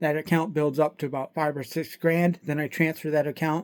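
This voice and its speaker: On a very clean recording with a silent background, a man speaks fairly quickly with an American accent. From US Midwest, mid-Michigan. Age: 40s. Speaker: small online seller and truck driver. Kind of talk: casual monologue. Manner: rambling, repetitive conversational.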